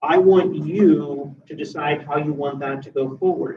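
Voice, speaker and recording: This man speaks with a Pennsylvania accent at a moderate pace. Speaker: university dining services manager. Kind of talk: presentation to student meeting. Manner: casual, conversational.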